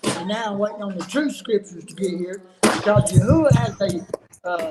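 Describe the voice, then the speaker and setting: Noticeable background noise sits under talking that moves at a moderate pace. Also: man. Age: 60s. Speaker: religious viewer brought on a livestream. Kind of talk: testimony.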